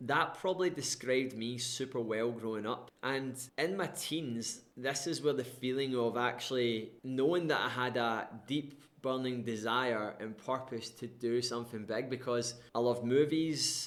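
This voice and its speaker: A man talks at a moderate pace, his medium pitch showing ordinary pitch variation. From Scotland, West Coast (Irvine, North Ayrshire). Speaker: life coach, former RAF serviceman. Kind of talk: personal storytelling monologue. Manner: casual, conversational.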